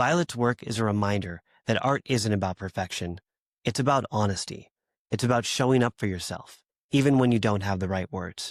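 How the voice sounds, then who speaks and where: A man with a plain, everyday voice, fairly low in pitch, with an American accent, a fairly quick pace, ordinary pitch variation and a dry, close sound with no echo. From US. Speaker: podcast host. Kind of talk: scripted introduction.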